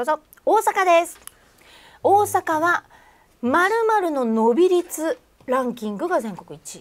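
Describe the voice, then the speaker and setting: A woman speaks in an extremely high pitch at a fairly slow pace, her tone cheerful. Her pitch swings very widely and her loudness rises and falls sharply. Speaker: livestream host, MC. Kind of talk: live streamed celebrity interview and games. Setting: studio, live stream. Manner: polite, cheerful, laughs often. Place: studio.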